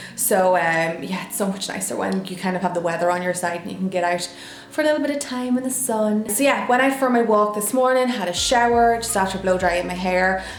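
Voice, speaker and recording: A woman with an Irish accent at a fairly quick pace, music in the background. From Ireland. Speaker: lifestyle vlogger. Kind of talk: casual talk to camera.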